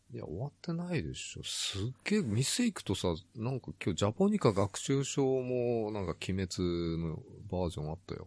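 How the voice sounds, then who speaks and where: Against a quiet background, a man with a fairly low pitch speaks at a moderate pace, his voice making very wide pitch swings. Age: 50s. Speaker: podcast co-host. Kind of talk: casual chat. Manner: laughs often.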